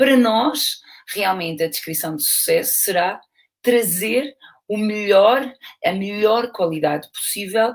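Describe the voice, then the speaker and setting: A woman with a European Portuguese accent at a fairly slow pace, with ordinary pitch variation. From Portugal. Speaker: university lecturer and aquatic fitness instructor. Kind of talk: lecture. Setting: video call. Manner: hesitant, with fillers.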